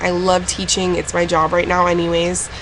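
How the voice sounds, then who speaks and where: A woman's fairly low voice at a moderate pace, with noticeable background noise behind it. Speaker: vlogger. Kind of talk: casual vlog.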